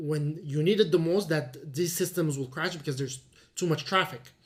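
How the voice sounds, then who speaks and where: Speaking at a moderate pace with a non-native accent, a man has a fairly high pitch. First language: not English (English is third language). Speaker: crypto trader and educator. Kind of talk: tutorial. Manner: halting, with fillers.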